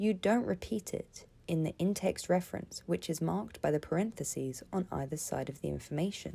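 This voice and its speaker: Her pitch fairly low, a woman speaks at a moderate pace in a dark, mellow tone. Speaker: teacher. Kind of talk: educational tutorial narration.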